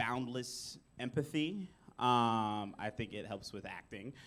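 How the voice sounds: A man talks loudly at a slow pace. His tone is fairly bright.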